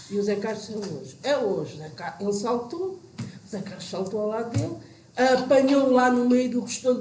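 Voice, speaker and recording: A woman talks in a high pitch at a moderate pace, animated in tone and lively in intonation. Her voice carries audible room echo and noticeable background noise. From Portugal, Vale de Maceira village. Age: 60s. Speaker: village old friend reminiscing. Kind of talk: casual group reminiscing chat.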